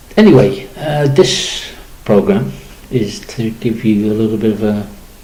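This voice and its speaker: There is audible room echo and noticeable background noise. The man's intonation is lively. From Liverpool, England. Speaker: community campaigner and radio presenter. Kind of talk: radio monologue. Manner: halting, many fillers.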